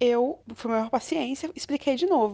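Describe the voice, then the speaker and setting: Her dark, mellow tone and lively intonation go with the high pitch of this woman's voice. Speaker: ship engineer. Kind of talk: testimony.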